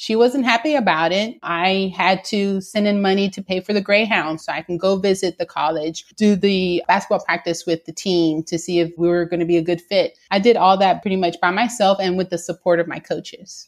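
Her voice is an ordinary speaking voice, medium in pitch for a woman, with fairly even intonation. She goes at a fairly quick pace with hardly any pauses. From Houston, Texas. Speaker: working mother and college graduate. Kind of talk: interview.

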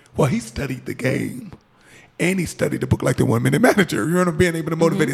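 Against noticeable background noise, a man with a fairly high pitch talks in an animated tone with lively intonation. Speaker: radio co-host and coach. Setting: radio studio. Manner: animated, laughing.

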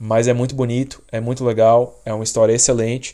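A man with a Brazilian accent speaks at medium pitch in a dark, mellow tone with monotone, flat intonation. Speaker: podcast host. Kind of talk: casual chat.

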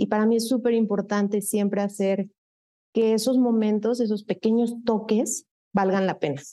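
A woman with a Mexico City accent talks at a moderate pace in a fairly high pitch, with fairly even intonation and very even loudness. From Mexico City, Satélite area. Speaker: psychologist and HR director. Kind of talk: interview, personal life story.

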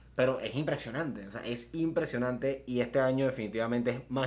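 Amid noticeable background noise and audible room echo, a man speaks very fast at a medium pitch with ordinary pitch variation. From Panama, Coclé roots, born in San Fernando. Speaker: podcast co-host. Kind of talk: casual chat.

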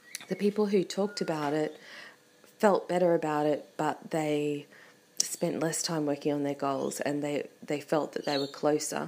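A woman with a very deep, low pitch at a moderate pace. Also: ordinary pitch variation. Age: 40s. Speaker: podcaster. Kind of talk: casual monologue while cooking. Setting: at home in kitchen.

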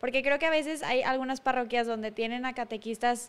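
Ordinary pitch variation on a very clean recording with a silent background. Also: woman. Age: 20s. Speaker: podcast co-host. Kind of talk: interview. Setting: live stream.

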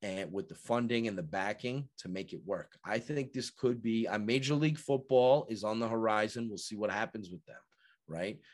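Speaking with an American accent at a medium pitch, a man keeps a moderate pace while his loudness swings widely. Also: ordinary pitch variation, quiet background. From New York. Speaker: football analyst and writer. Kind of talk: casual podcast interview. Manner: talkative.

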